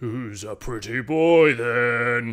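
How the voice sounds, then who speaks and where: A rumbling, put-on character voice. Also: man. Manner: mocking, teasing.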